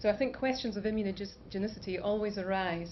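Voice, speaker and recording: In a Scottish accent, a woman speaks fairly quickly at a medium pitch, somewhat breathy and with fairly even intonation, with audible room echo. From Scotland, Aberdeen. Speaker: scientist and biotech founder. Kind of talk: conference talk.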